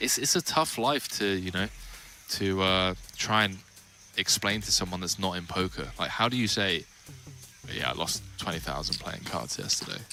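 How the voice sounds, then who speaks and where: Pausing long and often, a man with a British accent speaks in a very deep, low voice with ordinary pitch variation. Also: moderate pace. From England. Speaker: poker commentator. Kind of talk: live commentary.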